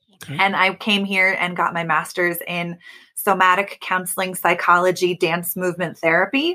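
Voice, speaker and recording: A woman speaks at a moderate pace in a bright, sharp tone with monotone, flat intonation. The recording is very clean, with a silent background. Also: medium pitch for a woman. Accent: General American. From US Pacific Northwest, Oregon. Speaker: creativity coach. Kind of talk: interview.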